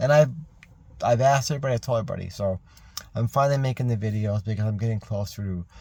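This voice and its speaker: Mumbling in a fairly low pitch, a man has a dark, mellow tone, a somewhat breathy quality and ordinary pitch variation. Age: 50s. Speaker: military veteran. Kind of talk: personal video message monologue. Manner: rambling, halting.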